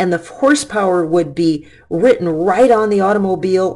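A woman with a normal speaking voice speaks at a moderate pace and a medium pitch. Her intonation is lively. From US Midwest, Detroit. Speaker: physics teacher. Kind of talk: lecture. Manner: casual, conversational.

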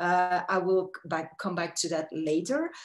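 With lively intonation, a woman speaks at a very slow pace. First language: not Spanish (speaking Spanish). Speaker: researcher; presenter. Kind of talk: presentation. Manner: hesitant, many fillers.

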